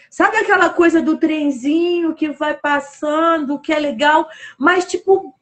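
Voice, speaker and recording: A woman speaks at an extremely high pitch. Her pace is fairly slow and her intonation fairly even. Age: 60s. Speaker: live show host. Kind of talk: casual interview chat. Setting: Instagram live stream.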